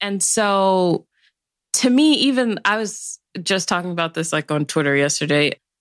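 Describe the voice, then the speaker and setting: On a very clean recording with a silent background and a dry, close sound with no echo, a woman with an unremarkable speaking voice and an American accent speaks at a moderate pace in a medium pitch with lively intonation. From South Side of Chicago. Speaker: policy expert. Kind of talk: casual interview.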